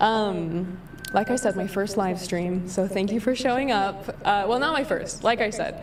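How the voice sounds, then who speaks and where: At a moderate pace with ordinary pitch variation, the voice comes through with audible room echo and noticeable background noise. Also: woman, medium pitch for a woman. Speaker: livestreamer. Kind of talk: casual commentary livestream.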